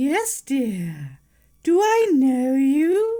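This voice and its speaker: A female-sounding cartoonish character voice, high in pitch, swings very widely up and down in a menacing tone. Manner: sweet-toned yet menacing.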